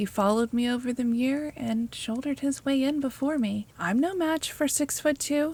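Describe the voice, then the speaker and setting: Putting on a gruff character voice, a woman speaks at a moderate pace in a high pitch, with very even loudness and hardly any pauses. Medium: read story. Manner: gruff, sulky, grudging.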